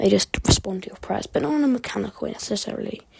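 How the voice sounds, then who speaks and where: A woman speaks over noticeable background noise. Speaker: amateur history YouTuber. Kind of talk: unscripted educational monologue. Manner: halting, occasional stutter; rambling, casual.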